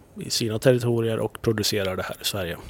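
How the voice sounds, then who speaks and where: A man speaks with monotone, flat intonation. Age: 30s. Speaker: TV executive producer. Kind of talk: casual interview chat.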